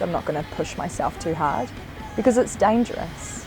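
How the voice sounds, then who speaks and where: A woman with a New Zealand accent speaks over noticeable background noise. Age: 20s. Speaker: building apprentice. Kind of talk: interview.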